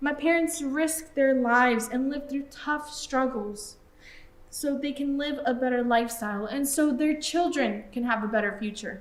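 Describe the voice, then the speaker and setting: The speech moves at a moderate pace with ordinary pitch variation, and audible room echo surrounds it. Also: woman. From Mexico, raised in US. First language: Spanish. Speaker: student performer. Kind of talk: theatrical monologue.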